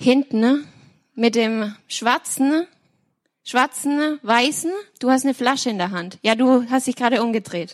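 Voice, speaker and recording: On a very clean recording with a silent background and a dry, close sound with no echo, a woman with a high pitch speaks at a fairly slow pace with ordinary pitch variation and long, frequent pauses. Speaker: worship team member. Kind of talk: prophetic word.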